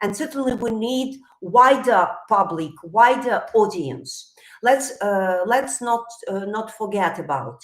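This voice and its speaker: A woman at a very slow pace, with lively intonation and big swings in loudness. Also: fairly high pitch for a woman. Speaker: psychologist. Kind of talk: live stream talk. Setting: live stream.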